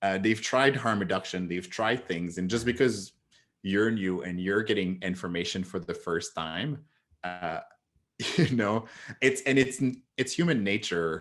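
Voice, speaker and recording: Against a quiet background, a man with a French accent and a fairly low pitch speaks at a fairly slow pace with ordinary pitch variation. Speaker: psychotherapist. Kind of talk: casual chat.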